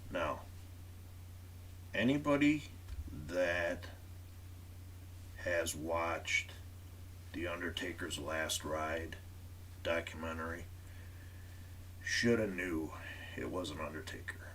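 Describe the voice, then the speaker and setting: Over noticeable background noise and audible room echo, a man with a very deep, low pitch talks at a very slow pace with long, frequent pauses. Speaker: wrestling podcast host. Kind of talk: live stream commentary. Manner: monotone.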